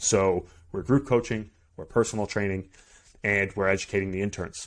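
With an American accent, this man talks at a fairly quick pace in a normal speaking voice, fairly low in pitch with fairly even intonation. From Massachusetts. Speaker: podcast host and strength coach. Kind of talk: solo podcast monologue. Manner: conversational with frequent fillers.

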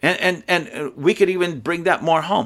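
On a very clean recording with a silent background, a man talks in an animated tone at a moderate pace, fairly high in pitch and with vocal fry. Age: 50s. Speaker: podcast host. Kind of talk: opinion monologue.

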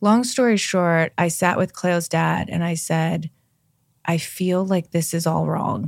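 At a fairly slow pace, a woman in a normal speaking voice talks at a fairly low pitch with ordinary pitch variation, recorded very cleanly with a silent background and a dry, close sound with no echo. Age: 40s. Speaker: yoga teacher and skincare entrepreneur. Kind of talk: interview, casual chat. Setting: studio, in person.

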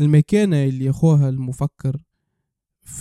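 A man talks at a moderate pace with a fairly high pitch and a dark, mellow tone. The sound is dry and close, with no echo. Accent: Tunisian. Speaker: podcast host. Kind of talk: casual discussion.

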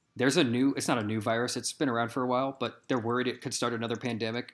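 Here a man talks very fast at a medium pitch with a Midwestern American accent. The recording is very clean, with a silent background. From US Midwest. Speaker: podcast host. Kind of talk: casual chat.

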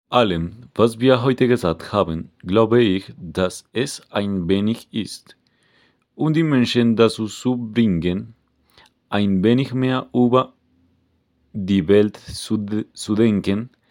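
Pausing long and often, a man with a Spanish accent speaks at a very slow pace and a fairly low pitch, with ordinary pitch variation. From Colombia. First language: Spanish (speaking German). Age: 20s. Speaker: climate activist. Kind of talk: scripted podcast discussion. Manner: halting.

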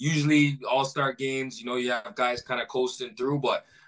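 In a Toronto accent, a man speaks at a fairly quick pace with a bright, sharp tone. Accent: Toronto-area Canadian English. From Brampton, Ontario, Canada. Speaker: professional basketball player. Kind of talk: interview.

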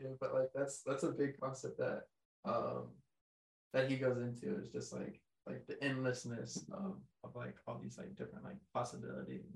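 With an American accent, a man speaks at a moderate pace with big swings in loudness. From Texas. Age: 20s. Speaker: construction company founder, former college football player. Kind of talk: casual interview chat. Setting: in-person studio recording.

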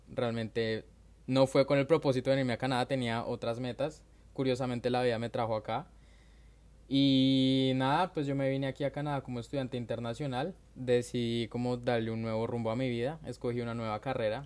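At a fairly quick clip, an unremarkable speaking voice keeps its intonation fairly even. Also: man, medium pitch for a man. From Colombia, Bogotá. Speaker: migrant. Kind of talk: casual chat.

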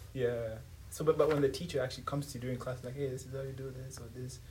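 A man speaks at a very fast pace with an East African accent and a medium pitch. His intonation is monotone and flat, with noticeable background noise behind him. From Tanzania, Dar es Salaam. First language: Swahili. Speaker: university student. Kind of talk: casual interview.

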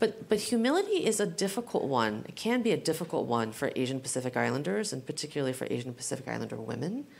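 A woman with an American accent talks at a very fast pace, barely pausing at all. Her very deep, low pitch swings very widely and carries vocal fry. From US West Coast, San Francisco. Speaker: general counsel. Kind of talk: live panel discussion. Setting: stage with audience.

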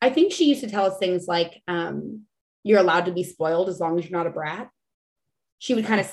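Speaking at a very fast pace in an American accent, a woman keeps a medium pitch with ordinary pitch variation. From Texas, San Antonio. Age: 30s. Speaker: chef and reality TV contestant. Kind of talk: casual chat.

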